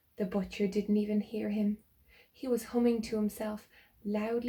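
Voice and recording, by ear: In a natural voice, the text is being read aloud.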